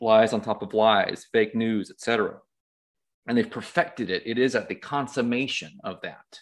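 A man with an unremarkable speaking voice talks at a moderate pace and medium pitch. His pitch varies ordinarily, but his loudness swings a lot. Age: 50s. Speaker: author and healer. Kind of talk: casual chat.

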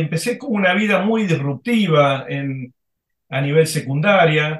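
Speaking at a fairly slow pace, a man uses lively intonation in a high pitch. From Argentina. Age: 60s. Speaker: former corporate executive, now executive coach. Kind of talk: interview. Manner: halting, many fillers.

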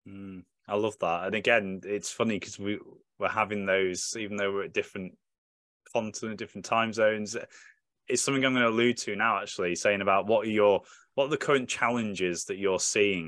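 A man with a British accent talks at a fairly quick pace. His pitch is fairly low and his intonation fairly even. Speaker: podcast host and military veteran. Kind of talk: casual panel conversation. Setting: video call.

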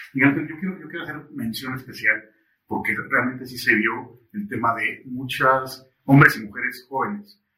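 Speaking at a moderate pace with big swings in loudness, a man uses an unremarkable speaking voice at medium pitch with ordinary pitch variation. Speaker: podcast host. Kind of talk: interview. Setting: studio.

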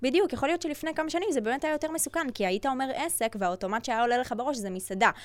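Talking at a very fast pace with hardly any pauses, a woman with a high pitch makes very wide pitch swings. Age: 20s. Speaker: digital agency owner and influencer. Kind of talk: casual interview chat.

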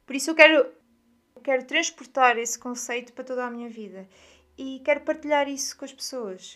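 Talking at a moderate pace, a woman uses a high pitch. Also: very clean recording, silent background. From Portugal, Aveiro. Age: 20s. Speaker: podcast host, wellness content creator. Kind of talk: personal monologue.

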